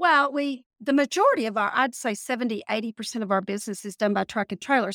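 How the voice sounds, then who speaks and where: A woman with a Texas accent talks at a very fast pace. Her voice sits fairly high, with a dry, close sound and no echo. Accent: Texas twang. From Texas Panhandle.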